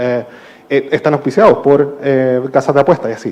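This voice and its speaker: A man with a Chilean accent talks at a very fast pace in a dark, mellow tone, his fairly high pitch showing ordinary pitch variation. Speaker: panelist, digital rights policy expert. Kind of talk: panel discussion. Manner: hesitant, many fillers.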